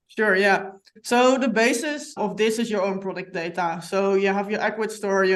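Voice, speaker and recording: A woman with a Dutch accent talks at a moderate pace and medium pitch, her intonation fairly even. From Netherlands. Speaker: software company representative. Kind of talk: podcast interview.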